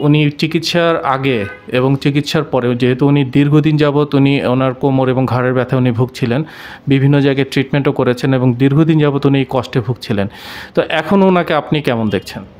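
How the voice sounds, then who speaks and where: The loudness stays very even, with music in the background. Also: man, fairly even intonation. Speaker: interviewer for a health channel. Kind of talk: interview questions. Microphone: handheld.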